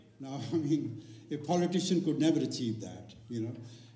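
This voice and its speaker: The voice belongs to a man. The room he is in gives audible echo. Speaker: event host or organiser. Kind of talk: speech to audience. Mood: warm, celebratory. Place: stage. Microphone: handheld.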